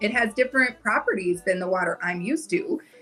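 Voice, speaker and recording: Music plays in the background as a woman with an American accent talks at a fairly quick pace in a fairly high voice. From US North. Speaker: travel content creator. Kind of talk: casual chat. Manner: fast.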